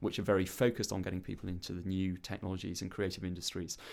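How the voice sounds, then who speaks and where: On a very clean recording with a silent background, a man with a Welsh accent speaks very fast at a fairly low pitch. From Wales. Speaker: arts organisation chief executive, former journalist. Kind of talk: interview. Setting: studio.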